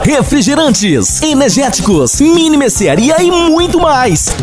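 A man speaks at a very slow pace, his pitch swinging very widely. Clear music plays in the background. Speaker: advertising voice-over announcer. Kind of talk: radio commercial read. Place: studio. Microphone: studio mic.

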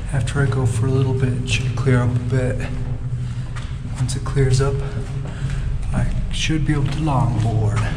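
A man speaking at a moderate pace leaves long, frequent pauses while loud background noise goes on. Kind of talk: casual vlog chat. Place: tunnel cave. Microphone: phone near.

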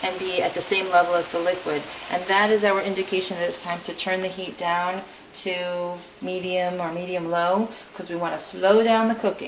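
A woman speaks at a moderate pace, with light background noise behind her. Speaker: home cook host. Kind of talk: tutorial. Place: kitchen.

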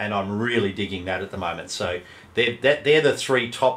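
With an Australian accent, a man is talking. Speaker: game master and podcast co-host. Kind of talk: casual chat.

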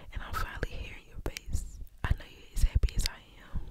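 A woman's voice, dry with no echo, against loud background noise. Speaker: ASMR creator. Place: home room. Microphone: studio mic.

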